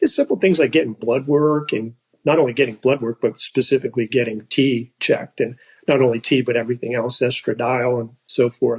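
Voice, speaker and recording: Fairly quick and somewhat breathy, the speech keeps a fairly even intonation. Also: man, medium pitch for a man, dry, close sound with no echo. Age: 60s. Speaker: patient and strength coach. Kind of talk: interview testimony. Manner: halting, with repetitions.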